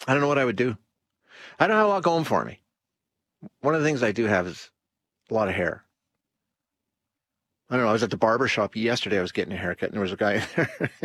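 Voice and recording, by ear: Speaking at a fast pace with long, frequent pauses, a man uses lively intonation in a fairly bright tone with a slightly husky edge. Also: fairly low pitch for a man.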